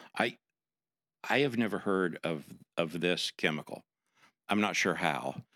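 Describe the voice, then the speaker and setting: Very deep and low in pitch yet bright and sharp in tone, a man speaks at a fairly slow pace with long, frequent pauses, lively intonation and very even loudness, in dry, close sound with no echo. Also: very clean recording, silent background. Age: 60s. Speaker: pastor. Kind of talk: casual chat.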